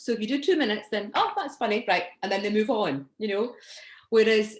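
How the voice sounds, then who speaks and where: With a Scottish accent, a woman speaks at a fairly high pitch using lively intonation. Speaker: stand-up comedian and actor. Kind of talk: interview answer.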